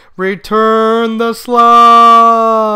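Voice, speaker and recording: A man's put-on character voice at an extremely high pitch, with monotone, flat intonation. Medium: read story. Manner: howling.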